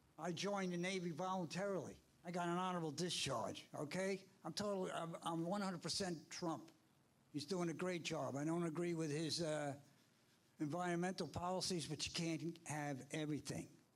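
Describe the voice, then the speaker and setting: Talking at a fairly quick pace, a man with an American accent has a high pitch and very even loudness. Room echo is audible around him. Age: 70s. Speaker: public commenter, Navy veteran. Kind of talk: public comment at town board meeting. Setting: town board meeting hall. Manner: animated.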